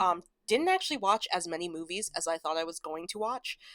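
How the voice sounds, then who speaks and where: A woman speaks at a moderate pace and medium pitch, her tone bright and sharp. The sound is dry and close with no echo, and her loudness swings widely. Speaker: YouTuber reviewing movies. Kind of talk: casual vlog talk. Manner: halting, many fillers; low-key.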